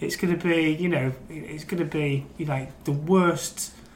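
Fairly high for a man, his pitch sits in a normal speaking voice with fairly even intonation. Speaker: newspaper crime reporter. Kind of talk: casual football banter. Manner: laughs often, relaxed.

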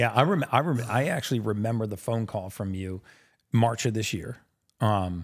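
A man with a normal speaking voice talks at a fairly quick pace in a fairly low pitch, with ordinary pitch variation. The recording is very clean, with a silent background. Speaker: podcast host, human biologist. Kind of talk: casual interview. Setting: studio.

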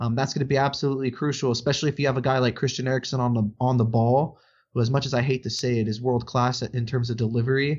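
Speaking very fast, a man with an American accent keeps a monotone, flat intonation. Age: 20s. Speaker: sports podcast host. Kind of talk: casual chat.

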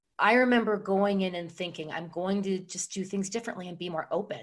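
At a fairly quick pace, a woman with an unremarkable speaking voice talks at a medium pitch with ordinary pitch variation. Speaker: guest, veteran turned professional. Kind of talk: casual interview clip.

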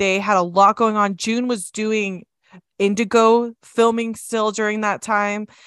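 Her fairly high pitch stays in a monotone, flat intonation as a woman with an American accent speaks at a fairly slow pace. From Utah. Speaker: podcast co-host. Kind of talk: casual chat.

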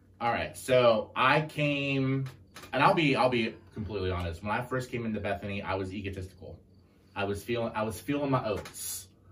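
With noticeable background noise behind him, a man speaks at a fairly quick pace in a medium pitch with ordinary pitch variation. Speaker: youth caseworker. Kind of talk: casual chat. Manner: loud.

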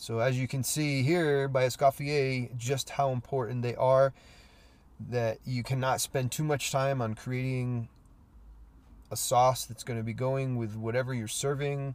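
The man speaks at a medium pitch and a fairly slow pace. His intonation is monotone and flat. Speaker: cooking podcast host, cook. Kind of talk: solo podcast talk, tutorial. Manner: casual with frequent fillers.

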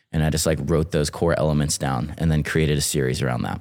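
A man speaks with an American accent, vocal fry and fairly even intonation. The recording is very clean, with a silent background. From North Carolina. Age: 30s. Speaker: short-form video creator. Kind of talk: casual interview chat.

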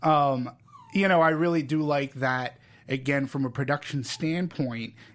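With an American accent, a man talks at a fairly slow pace in an unremarkable speaking voice, his intonation lively. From Massachusetts (Peabody, near Boston). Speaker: film podcast host. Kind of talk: casual chat.

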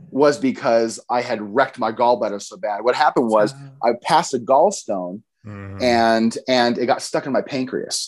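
An ordinary speaking voice from a man with an American accent, medium in pitch with ordinary pitch variation and big swings in loudness, at a moderate pace over a quiet background. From Idaho (Boise). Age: 30s. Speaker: comedian and former pro wrestler. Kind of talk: casual interview chat. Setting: video call.

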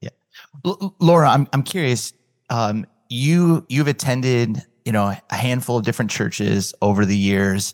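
With a plain, everyday voice, a man speaks at a medium pitch and fairly slow pace in a dry, close sound with no echo. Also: very clean recording, silent background. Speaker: podcast host and church leader. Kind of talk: casual interview conversation.

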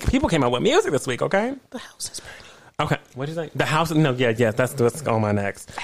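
Over noticeable background noise, a woman talks at a very fast pace in an animated tone, with big swings in loudness. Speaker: podcast host. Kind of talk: casual chat.

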